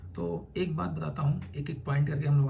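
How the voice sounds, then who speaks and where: A man speaks at medium pitch and a moderate pace, somewhat breathy with a dark, mellow tone. Audible room echo surrounds the voice. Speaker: UPSC aspirant and educational YouTuber. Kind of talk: informal explanatory talk. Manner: conversational.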